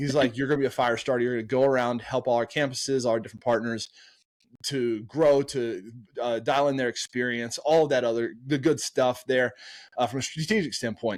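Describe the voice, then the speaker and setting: An energetic man with an American accent talks at a fairly quick pace and medium pitch in a very clean recording with a silent background. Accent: slight Southern, stronger on country topics. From US South. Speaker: marketing agency co-founder. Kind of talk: podcast interview. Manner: animated storytelling.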